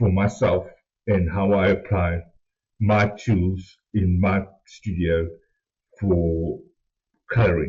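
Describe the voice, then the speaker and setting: A man with a somewhat breathy voice. His tone is dark and mellow, with a non-native accent. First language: not English. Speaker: art tutorial host. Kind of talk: tutorial. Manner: hesitant, many fillers.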